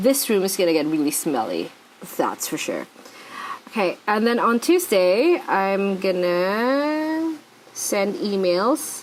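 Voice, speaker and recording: A woman's medium-pitched, very slow speech with very wide pitch swings, over noticeable background noise. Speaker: planner vlogger and sticker shop owner. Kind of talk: casual tutorial vlog. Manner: chatty, thinking aloud.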